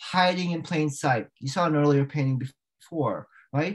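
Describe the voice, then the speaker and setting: The background is quiet. A man speaks with an American accent at a moderate pace. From Northern Virginia, US; Virginia. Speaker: artist and art professor; art professor. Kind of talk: talk with slide presentation. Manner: halting. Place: home room. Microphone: webcam.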